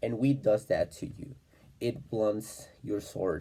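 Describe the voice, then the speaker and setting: A man talks in a fairly low voice with a non-native accent. His tone is dark and mellow, and somewhat breathy. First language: not English. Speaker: self-improvement vlogger. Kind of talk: casual monologue. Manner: halting, many fillers.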